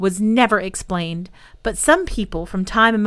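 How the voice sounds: This clip features a natural reading voice.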